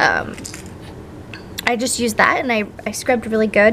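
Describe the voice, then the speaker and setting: Moderate pace against noticeable background noise. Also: woman. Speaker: vlogger, new mother. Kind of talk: casual vlog update.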